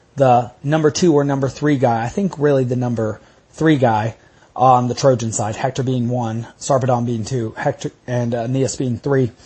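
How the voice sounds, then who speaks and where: The voice is somewhat breathy. It carries an American accent. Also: man. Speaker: podcast host and lecturer on classics. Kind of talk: lecture. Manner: conversational, with filler words.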